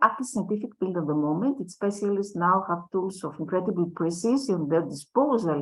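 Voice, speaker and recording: Her pitch swinging very widely, a woman talks at a fairly quick clip. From Greece. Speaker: educator, conference speaker. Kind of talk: lecture.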